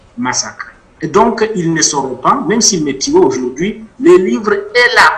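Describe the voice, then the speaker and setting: Noticeable background noise is present. Over it a man speaks with lively intonation. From DR Congo, South Kivu (Bukavu area). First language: Mashi (speaking French). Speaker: author and witness. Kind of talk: interview testimony.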